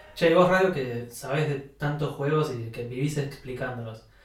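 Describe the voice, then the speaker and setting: Through noticeable background noise, a man with a Rioplatense accent and a fairly high pitch speaks at a moderate pace with fairly even intonation. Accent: Argentine Spanish (rioplatense). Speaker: podcast co-host. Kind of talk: scripted narration; casual chat.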